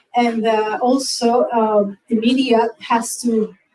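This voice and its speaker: Speaking with a non-native accent, a woman holds a fairly high pitch in a monotone, flat intonation. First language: Spanish. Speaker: film festival organizer. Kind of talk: panel presentation. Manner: halting.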